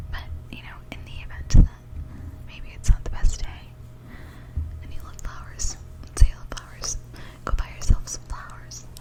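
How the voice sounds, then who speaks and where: A woman whispers with long, frequent pauses and big swings in loudness. Noticeable background noise sits behind her. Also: moderate pace. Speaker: ASMR creator. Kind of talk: ASMR whisper ramble for sleep. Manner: whispered; soft-spoken, rambling, hesitant.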